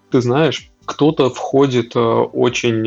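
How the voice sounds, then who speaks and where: A man's medium-pitched voice at a very slow pace, with music in the background. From Russia, Tver region. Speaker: data center services manager. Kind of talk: casual interview chat.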